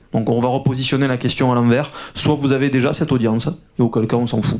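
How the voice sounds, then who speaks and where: This man speaks at a very fast pace with a southern French accent. His medium pitch follows fairly even intonation. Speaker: agency founder, conference speaker. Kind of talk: conference talk.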